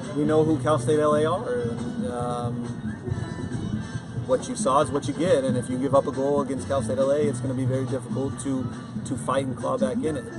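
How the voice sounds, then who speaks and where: A man keeps a moderate pace while clear music plays behind him. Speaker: head coach. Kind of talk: interview answer. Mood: calm, reflective after loss. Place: stadium.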